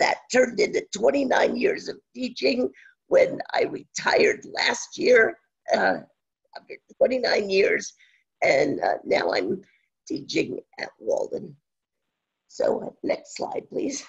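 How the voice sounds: The voice is raspy and strained, with vocal fry, a husky, rough edge, very wide pitch swings, and a slow pace.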